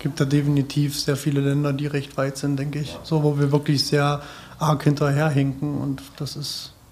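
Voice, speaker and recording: Noticeable background noise sits behind a man with a fairly high voice. He speaks at a moderate pace in a flat monotone. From small town in Germany. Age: 30s. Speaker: community radio editor. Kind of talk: round-table discussion.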